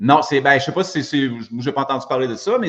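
A man talks with a fairly high pitch. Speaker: gym owner and fitness coach. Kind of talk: casual chat. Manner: halting.

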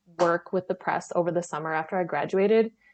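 A woman with an Upper Midwestern accent talks at a very fast pace, her pitch varying an ordinary amount. The background is quiet. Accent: Upper Midwestern American. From northeast Wisconsin. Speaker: podcast guest, publishing worker. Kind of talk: casual chat.

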